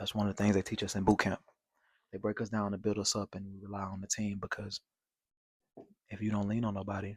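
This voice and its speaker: Speaking fairly quickly in a flat monotone, a man with an American accent and a fairly low pitch is heard dry and close with no echo on a very clean recording with a silent background. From Shreveport, Louisiana (US South). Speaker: Navy sailor and vlogger. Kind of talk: personal introduction vlog. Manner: casual, conversational.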